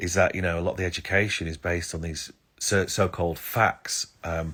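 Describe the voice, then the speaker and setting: A man's very deep, low voice with an English accent and fairly even intonation on a very clean recording with a silent background. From England. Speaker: astrologer. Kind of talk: live stream talk. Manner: hesitant, many fillers.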